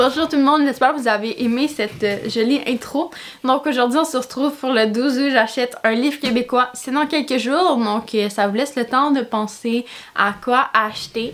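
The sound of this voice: A woman at a moderate pace, high in pitch, against noticeable background noise. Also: ordinary pitch variation.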